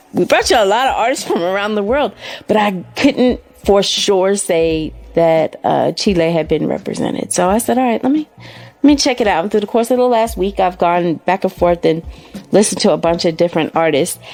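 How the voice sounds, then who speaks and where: With music in the background, a woman speaks in an animated tone at a medium pitch, keeping a fairly quick pace and lively intonation. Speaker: radio show co-host. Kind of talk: radio segment monologue.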